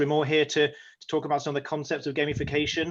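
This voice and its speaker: His voice is fairly high for a man. He speaks at a very fast pace. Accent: English. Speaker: company executive. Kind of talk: webinar presentation.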